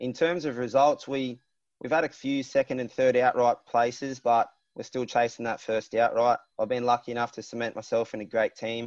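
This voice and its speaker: A man of medium pitch with an Australian accent, fairly quick and monotone with flat intonation, over a quiet background. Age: 20s. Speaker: water ski racer. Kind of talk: casual chat.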